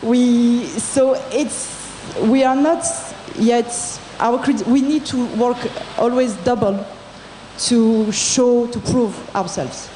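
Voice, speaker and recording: With a French accent, a woman speaks very slowly in a high voice and fairly even intonation, leaving long, frequent pauses amid noticeable background noise and audible room echo. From France. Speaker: entrepreneur in audience. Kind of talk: audience comment at panel. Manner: halting.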